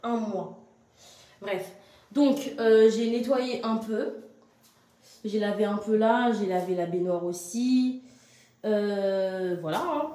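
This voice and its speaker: A woman speaks at a fairly high pitch with ordinary pitch variation, at a very slow pace with long, frequent pauses. Noticeable background noise and audible room echo come through. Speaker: vlogger and mother. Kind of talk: casual vlog monologue. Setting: at home. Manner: halting, many fillers; loud.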